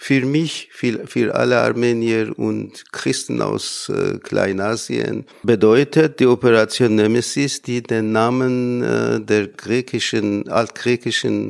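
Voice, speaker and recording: The recording is very clean, and the background is silent. In it, a man talks at a very slow pace. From Iran, Armenian community near Isfahan. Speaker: lecturer in Armenian. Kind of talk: interview statement. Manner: halting.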